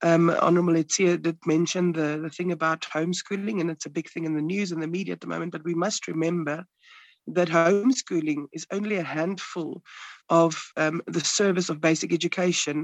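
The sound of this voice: The sound is dry and close with no echo as a raspy man speaks at a fairly quick pace. His pitch is fairly high and his intonation fairly even.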